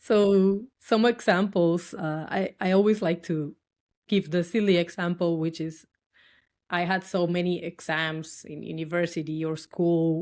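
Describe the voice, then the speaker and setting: In a Dominican accent, a woman speaks fairly slowly with a fairly low pitch and fairly even intonation. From Dominican Republic. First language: Spanish. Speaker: tech worker and cosplayer. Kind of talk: podcast interview answer.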